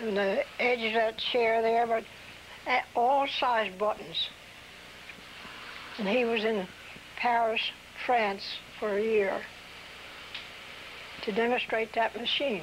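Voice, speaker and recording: A woman's fairly high voice with a Mid-Atlantic American accent, at a fairly slow pace and with fairly even intonation. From New Castle, Delaware. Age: 80s+. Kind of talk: interview answer.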